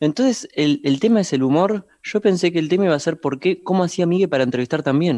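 A man with a Rioplatense accent talks at a very fast pace with hardly any pauses, his high voice carrying lively intonation and a dark, mellow tone at very even loudness, in a dry, close sound with no echo. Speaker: podcast co-host, producer. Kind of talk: casual chat.

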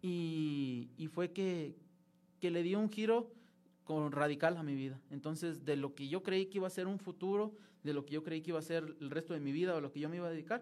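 A man's fairly high-pitched, normal speaking voice, ordinary in pitch variation, at a fairly quick pace. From Mexico, Durango. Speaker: seminarian, former lay missionary. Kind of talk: interview testimony. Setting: studio, live broadcast.

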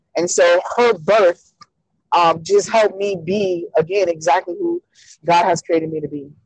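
A woman speaks in a plain, everyday voice, fairly low-pitched, at a moderate pace with fairly even intonation. The sound is dry and close, with no echo. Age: 30s. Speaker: speaker and advocate for abused women. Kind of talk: interview about personal life.

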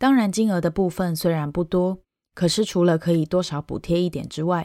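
A woman with a dark, mellow tone and a fairly low pitch speaks at a moderate pace with ordinary pitch variation. The recording is very clean and dry, close up with no echo and a silent background. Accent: Taiwanese. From Taiwan. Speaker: podcast host, Chinese teacher. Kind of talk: personal monologue podcast.

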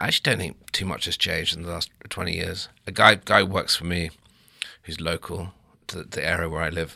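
A man with an English accent talks at a fairly quick pace in a very deep, low pitch with a bright, sharp tone and monotone, flat intonation. The recording is very clean, with a silent background. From England. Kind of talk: casual chat.

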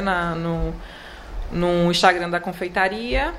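Against noticeable background noise and audible room echo, a woman talks slowly-ish, at a fairly low pitch with fairly even intonation. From Alagoas interior, Palmeira dos Índios. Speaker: chocolatier. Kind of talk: interview.

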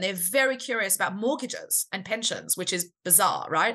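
Lively in intonation, a woman speaks at a moderate pace in a fairly high pitch with a bright, sharp tone. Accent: Australian. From Australia. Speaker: startup founder and CEO. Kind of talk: casual interview.

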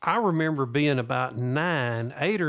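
The speaker has a Southern US accent. Pitch variation is ordinary. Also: man. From US South. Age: 50s. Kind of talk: casual chat. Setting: studio.

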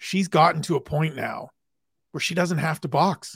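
Captured in a very clean recording with a silent background and a dry, close sound without echo, an unremarkable speaking voice moves at a fairly quick pace. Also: man. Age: 40s. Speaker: MMA journalist. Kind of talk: casual chat.

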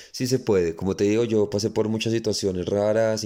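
A man's fairly low, dark and mellow voice in a flat monotone, on a very clean recording with a silent background. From Colombia. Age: 20s. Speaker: dancer and dance school director. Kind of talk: interview conversation.

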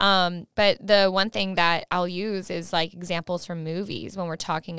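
A woman with a normal speaking voice and a fairly low pitch talks at a moderate pace. The recording is very clean, with a silent background. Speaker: podcast host. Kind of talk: casual interview chat.

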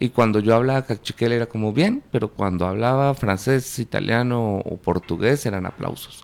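This man talks at a moderate pace and medium pitch, with ordinary pitch variation and hardly any pauses. It is a plain, everyday voice. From Guatemala, Panajachel. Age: 40s. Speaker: filmmaker. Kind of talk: interview.

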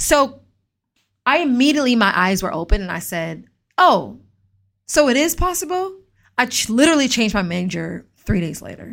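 A woman with an American accent speaks at a moderate pace in a high voice, her pitch swinging very widely and her loudness shifting sharply. Long, frequent pauses break up the speech in a very clean recording with a silent background. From US South, Atlanta, Georgia. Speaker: podcast host, tech founder. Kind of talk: solo podcast monologue, personal story. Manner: casual, conversational.

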